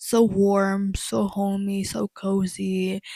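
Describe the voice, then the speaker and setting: A woman speaks at a medium pitch, somewhat breathy. Her tone is dark and mellow. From Congo and Angola. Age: 20s. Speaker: lifestyle YouTuber. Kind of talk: casual chat.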